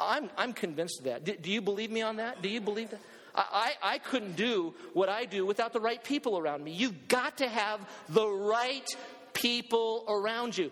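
Noticeable background noise behind a man's high-pitched voice. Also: ordinary pitch variation, moderate pace. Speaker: pastor; preacher. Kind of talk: sermon to a live congregation, building to urgent exhortation. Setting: church with congregation, also streamed online. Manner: animated, emphatic, rallying the crowd with repeated calls and questions.

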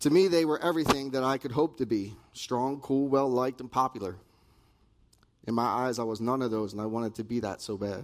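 A man talks in a plain, everyday voice with an American accent. His pitch is medium, with ordinary variation and a fairly quick pace. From New Jersey. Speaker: recovery ministry member giving testimony. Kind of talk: testimony. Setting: stage with audience.

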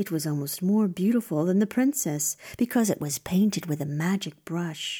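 Speaking at a fairly slow pace, a woman uses a dramatic, theatrical tone and lively intonation. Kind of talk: scripted storytelling narration of a fairy tale. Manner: dramatic, storyteller's cadence with theatrical emphasis.

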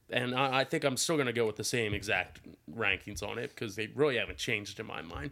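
On a very clean recording with a silent background, a man with an American accent talks at a very fast pace, medium-pitched and bright, sharp in tone, with vocal fry and ordinary pitch variation. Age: 20s. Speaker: sports podcast host. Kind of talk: casual chat.

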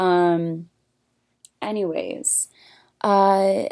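A woman speaks on a very clean recording against a silent background. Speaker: student podcaster. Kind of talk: solo class-assignment podcast talk. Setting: alone in a room recording to computer. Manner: halting, full of ums.

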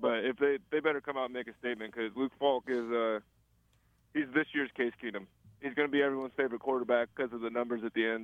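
A man talks at a very fast pace, his pitch medium and his intonation fairly even. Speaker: college football analyst. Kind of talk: casual sports talk. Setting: phone call. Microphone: phone line, robotic sound.

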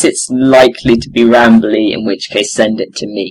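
A man talks at a moderate pace. Music sounds in the background. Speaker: podcast co-host. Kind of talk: casual chat. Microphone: poor audio quality.

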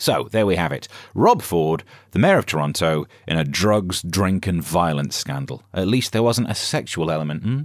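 Lively in intonation and very deep and low in pitch, a man speaks at a moderate pace on a very clean recording with a silent background. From northern England. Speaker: comedian and podcast host. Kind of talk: comic monologue.

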